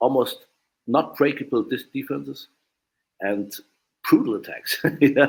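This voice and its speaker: Speaking with a German accent, a man goes at a fairly slow pace. He takes long, frequent pauses. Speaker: martial arts instructor. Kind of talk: podcast interview. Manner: halting, many fillers.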